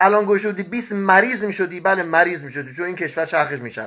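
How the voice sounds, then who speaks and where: Against a quiet background, a man uses a raised, projected voice with a bright, sharp tone, animated delivery and ordinary pitch variation. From Iran. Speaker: market analyst and news commentator. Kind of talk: casual livestream news commentary. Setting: live stream to online audience. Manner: animated, talkative, rant-like. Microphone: earbuds.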